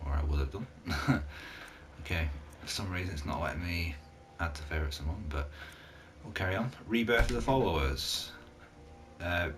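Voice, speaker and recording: Audible room echo surrounds a man whose very deep, low voice moves at a moderate pace. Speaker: gaming YouTuber reviewing mods. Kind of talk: casual commentary reviewing mods. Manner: halting, many filler uhs.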